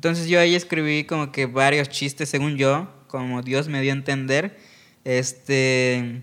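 A man talks at a moderate pace in a normal speaking voice, fairly high for a man. The recording is very clean, with a silent background. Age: 20s. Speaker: stand-up comedian. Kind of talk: casual chat.

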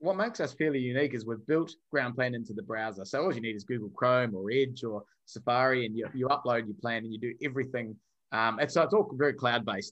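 Talking at a very fast pace with a New Zealand accent, a man uses a medium pitch and ordinary pitch variation. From New Zealand (Wellington). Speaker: software company founder, former fighter. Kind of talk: podcast interview.

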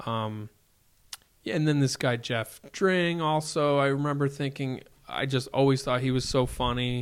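A man with a plain, everyday voice talks at a moderate pace in a fairly high pitch, with fairly even intonation. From Hudson Valley, New York. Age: 40s. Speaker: comedian. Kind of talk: casual chat.

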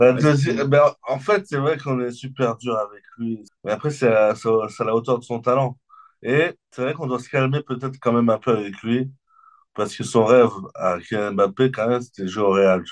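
Medium pitch and ordinary pitch variation from a man speaking at a moderate pace. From France, Limoges. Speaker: comedian. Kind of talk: casual chat. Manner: animated.

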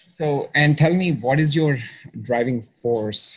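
At a moderate pace, a man talks in a somewhat breathy voice with ordinary pitch variation. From India. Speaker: podcast host, performance coach for engineers. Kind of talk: interview podcast.

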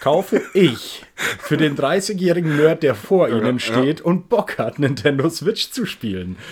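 The speaker moves at a very slow pace with vocal fry and very wide pitch swings. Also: man. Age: 30s. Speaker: podcast co-host. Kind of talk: casual chat.

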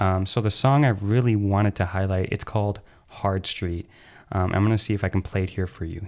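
A man with a normal speaking voice, fairly low in pitch, at a fairly quick pace, in a very clean recording with a silent background. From Chicago, US. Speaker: podcast host, rave dancer. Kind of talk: casual chat.

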